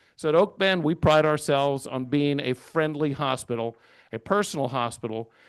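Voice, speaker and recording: In an American accent, a man with an ordinary speaking voice talks at a moderate pace and fairly high pitch with ordinary pitch variation. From Houston area, Texas. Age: 60s. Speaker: hospital executive. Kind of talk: presentation.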